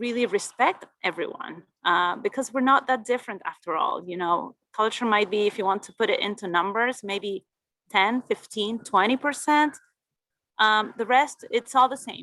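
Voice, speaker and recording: A woman's bright, sharp voice at a fairly high pitch, with lively intonation, a moderate pace and big swings in loudness. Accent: Argentine. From Argentina. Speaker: Spanish teacher. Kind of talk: interview.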